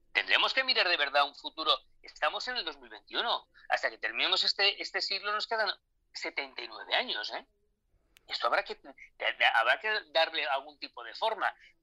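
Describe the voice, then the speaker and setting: At a moderate pace, a man speaks with big swings in loudness and long, frequent pauses, in a dry, close sound with no echo. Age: 50s. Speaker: war correspondent. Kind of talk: interview. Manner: halting, many repetitions.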